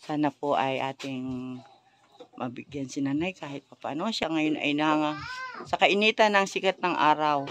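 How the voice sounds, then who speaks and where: Her voice is very deep and low for a woman, with ordinary pitch variation, at a moderate pace. The sound is dry and close, with no echo. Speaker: charity vlogger. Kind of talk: vlog walkthrough and interview. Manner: loud.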